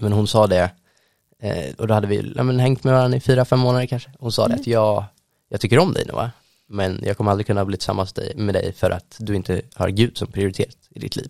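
An ordinary speaking voice from a man, fairly low in pitch, moving at a fairly quick pace with ordinary pitch variation. The sound is dry and close, with no echo. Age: young. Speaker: student and church youth leader. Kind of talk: casual interview. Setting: studio.

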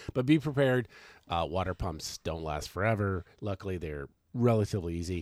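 This man has a very deep, low pitch and an American accent, with lively intonation. He speaks at a fairly quick pace in a very clean recording with a silent background. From Washington State. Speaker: podcast co-host, full-time RVer. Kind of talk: casual chat. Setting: in an RV. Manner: loud.

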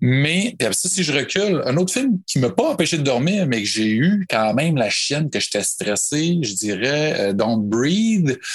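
A man with a Quebec accent talks at a fairly slow pace with hardly any pauses. His fairly high voice swings very widely in pitch while his loudness stays very even. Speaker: podcast guest, horror film fan. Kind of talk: casual chat.

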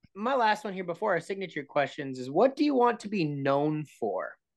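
Against a quiet background, a man with an American accent speaks with very wide pitch swings. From Minnesota. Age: 30s. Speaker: podcast co-host. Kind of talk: casual interview chat.

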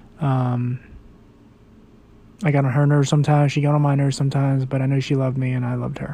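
A man with a fairly high pitch speaks very fast in a somewhat breathy, dark, mellow tone. His intonation is monotone and flat, broken by long, frequent pauses. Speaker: podcast host. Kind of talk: personal monologue. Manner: rambling, hesitant with many ums.

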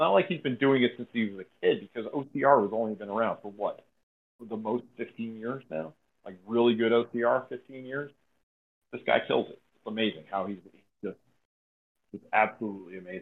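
Pitched at a medium level with ordinary variation, a man's voice shows big swings in loudness. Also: moderate pace. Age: 40s. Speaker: amateur obstacle course racer. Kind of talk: casual podcast interview. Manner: animated.

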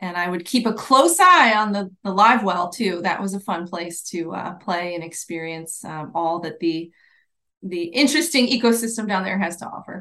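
The woman's voice has a bright, sharp tone and ordinary pitch variation. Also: medium pitch for a woman, moderate pace, big swings in loudness. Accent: American. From US Midwest (Ohio), then Florida Keys. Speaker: marketing executive at a fishing and boating foundation. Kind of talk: interview. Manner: hesitant, with fillers.

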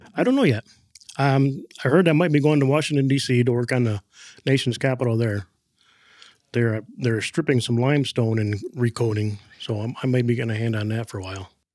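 Speaking at a fairly quick pace with long, frequent pauses, a man with a medium pitch uses ordinary pitch variation on a very clean recording with a silent background. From Michigan (Flint). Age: 40s. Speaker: painter. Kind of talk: interview. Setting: on-site office.

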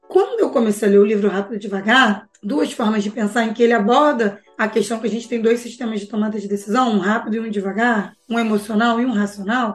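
Very fast and with hardly any pauses, a woman rattles along. Her pitch sits fairly high. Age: 40s. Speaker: behavioral finance educator. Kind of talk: casual interview chat. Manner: animated.

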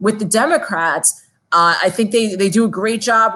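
This woman talks with an American accent. Her pitch shows ordinary variation. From Long Island, New York. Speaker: city council candidate. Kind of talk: interview.

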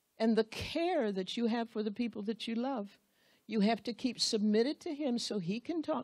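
What's heard is a natural reading voice.

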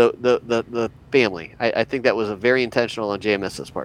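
Using a plain, everyday voice, a man talks at medium pitch and a fairly quick pace. His intonation stays fairly even. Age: 50s. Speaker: podcast co-host. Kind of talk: casual podcast discussion. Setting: basement playroom.

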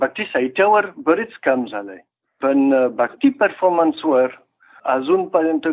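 In a French accent, a man with a fairly high voice speaks with very wide pitch swings. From France. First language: French (speaking Marathi). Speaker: researcher and French teacher. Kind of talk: interview. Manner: halting.

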